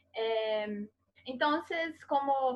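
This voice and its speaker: A woman speaks with a Portuguese accent and lively intonation. Her pace is very slow. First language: Portuguese (speaking Spanish). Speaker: interviewer. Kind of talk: academic interview. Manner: halting.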